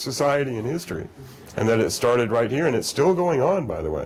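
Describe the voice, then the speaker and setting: There is noticeable background noise and audible room echo as a man talks at a fairly quick pace with lively intonation. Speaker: lecturer. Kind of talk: lecture with audience Q&A.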